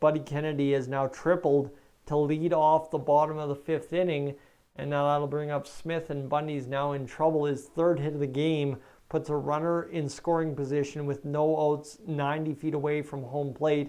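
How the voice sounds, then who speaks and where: A man speaks at a moderate pace with a dark, mellow tone and a fairly high pitch. His intonation is monotone and flat. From Canada, northern Alberta. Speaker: baseball stream commentator. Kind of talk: live play-by-play commentary. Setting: live stream.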